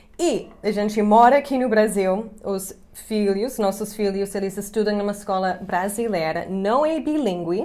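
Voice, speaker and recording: With an English accent, a woman talks at a fairly slow pace and medium pitch, with hardly any pauses and ordinary pitch variation. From US, Chicago. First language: English (speaking Portuguese). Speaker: English teacher and YouTuber. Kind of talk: casual chat to camera.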